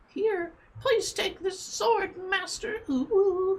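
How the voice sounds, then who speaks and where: A female-sounding voice puts on a character voice at an extremely high pitch and a very slow pace. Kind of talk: cutesy, sweet. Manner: friendly, sweet.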